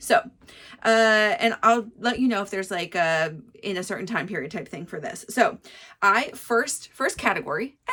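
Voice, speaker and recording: Her fairly high voice has a bright, sharp tone, with very wide pitch swings and big swings in loudness as this woman speaks. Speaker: knitting podcaster. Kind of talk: casual monologue. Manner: fast.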